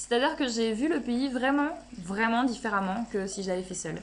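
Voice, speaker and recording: A woman speaks in a high pitch with an animated tone and lively intonation. Noticeable background noise runs underneath. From Belgium. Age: 20s. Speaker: travel vlogger. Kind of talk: casual vlog talk.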